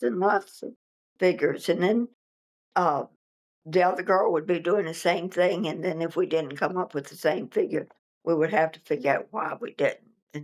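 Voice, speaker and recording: At a moderate pace, a woman of medium pitch speaks with a Virginia accent. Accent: Virginia Southern American. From Virginia, US South. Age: 80s+. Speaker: interviewee recounting local history. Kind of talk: oral history interview. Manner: halting.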